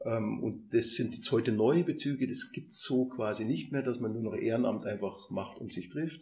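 A man speaks in a normal speaking voice at a moderate pace. His pitch is medium, with ordinary pitch variation. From Upper Bavaria, village near Munich. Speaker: construction entrepreneur and community co-founder. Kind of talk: casual interview.

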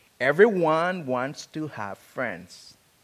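At a very slow pace, a man with an African accent speaks with lively intonation. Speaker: preacher. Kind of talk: sermon. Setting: church.

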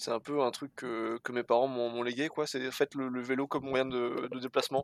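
In a very clean recording with a silent background and a dry, close sound with no echo, a man with a normal speaking voice talks at medium pitch and a moderate pace with fairly even intonation. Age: 20s. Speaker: bicycle courier and dispatcher. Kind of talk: casual interview.

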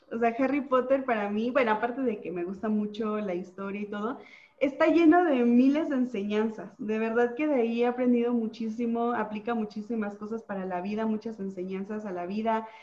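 Fairly high-pitched, a woman talks at a fairly quick pace with hardly any pauses and ordinary pitch variation. Noticeable background noise can be heard. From Mexico, Oaxaca. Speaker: nutritionist and social media content creator. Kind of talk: casual interview.

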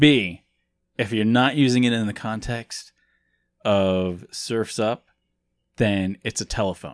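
Against a quiet background, a man with an American accent and fairly low pitch speaks very slowly with ordinary pitch variation and long, frequent pauses, the sound dry and close with no echo. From US Midwest. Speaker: podcast host. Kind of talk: casual chat.

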